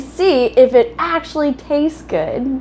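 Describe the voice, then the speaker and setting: A high-pitched woman with an American accent and very wide pitch swings. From half Southern US. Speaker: cookbook collector and home cook. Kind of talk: cooking tutorial. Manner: casual, chatty.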